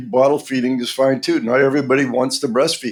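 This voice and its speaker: This man speaks at a fairly quick pace, with medium pitch and an American accent. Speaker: pediatric dentist. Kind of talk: interview podcast.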